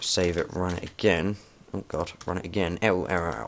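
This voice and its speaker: A man talks with a very deep, low pitch and vocal fry. His intonation is lively. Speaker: programming tutorial maker. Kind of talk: screen-recorded coding tutorial. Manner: fast; halting, many fillers.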